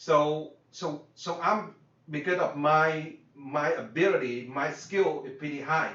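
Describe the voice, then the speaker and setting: A man with a Vietnamese accent and a fairly high pitch speaks with ordinary pitch variation, his voice carrying audible room echo over noticeable background noise. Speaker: business coach. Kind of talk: workshop lecture. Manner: halting, many fillers and repeats.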